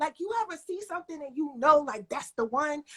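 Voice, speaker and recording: With a Philadelphia accent, this raised, projected voice carries an animated, bright, sharp tone in a dry, close sound with no echo. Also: woman. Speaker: live show host. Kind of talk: livestream interview.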